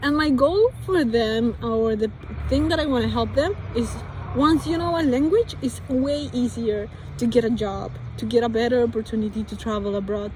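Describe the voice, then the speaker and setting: Against noticeable background noise, a woman speaks with a Spanish accent at a fairly high pitch, with ordinary pitch variation. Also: moderate pace. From Colombia. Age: 20s. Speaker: vlogger. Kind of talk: casual monologue. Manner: halting.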